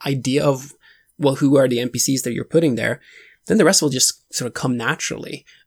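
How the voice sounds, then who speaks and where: The very clean recording, silent in the background, captures a man with a Swedish accent and a fairly high voice, dry and close with no echo. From Sweden. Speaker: tabletop role-playing podcaster. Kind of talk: casual interview.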